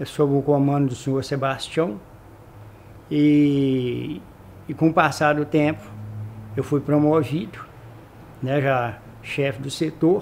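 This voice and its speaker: A man speaks at a very slow pace with fairly even intonation and long, frequent pauses. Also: fairly high pitch for a man. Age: 60s. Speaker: retired company employee. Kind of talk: oral history interview. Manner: halting.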